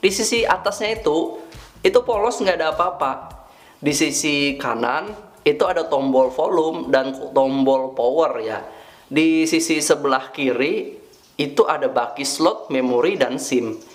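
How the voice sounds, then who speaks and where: Lively in intonation, a man with a South Kalimantan accent speaks fairly slowly in a fairly high pitch. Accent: Banjar. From Indonesia, Banjarmasin (South Kalimantan). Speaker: tech reviewer. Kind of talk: product review. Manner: casual, conversational.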